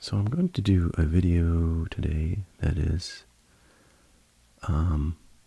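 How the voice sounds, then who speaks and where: Soft-spoken and somewhat breathy, a man with a very deep, low pitch and a dark, mellow tone talks in a calm, relaxed tone at a very slow pace, with fairly even intonation and long, frequent pauses. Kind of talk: ASMR reading of a Reddit post with commentary. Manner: soft-spoken, calm, relaxed.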